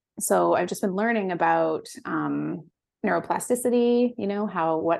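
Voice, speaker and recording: A woman with an American accent speaks at a moderate pace and medium pitch in a plain, everyday voice against a quiet background. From US West Coast. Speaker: founder of a microdosing supplement company. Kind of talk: casual interview chat.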